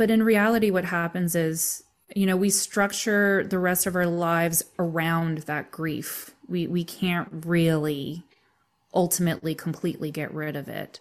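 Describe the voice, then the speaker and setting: A woman speaks in a plain, everyday voice, fairly low in pitch, at a fairly slow pace with fairly even intonation. The recording is very clean, with a silent background. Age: 30s. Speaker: massage therapist and death doula. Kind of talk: casual interview.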